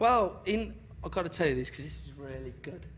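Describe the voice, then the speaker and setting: Audible room echo surrounds a voice with a strong Birmingham accent. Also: man. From Birmingham, English Midlands. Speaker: club DJ. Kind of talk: interview.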